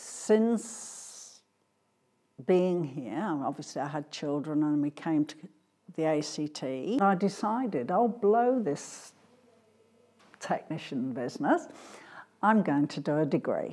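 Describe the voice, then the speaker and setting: With an English accent and a very deep, low pitch, a woman speaks at a very slow pace in a dark, mellow tone, her pitch swinging very widely between long, frequent pauses. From England. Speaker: scholarship donor. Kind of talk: interview.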